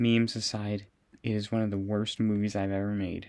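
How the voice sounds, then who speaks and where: A man's fairly low voice in a monotone, flat intonation. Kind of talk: casual movie tier list talk. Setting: recorded in a closet.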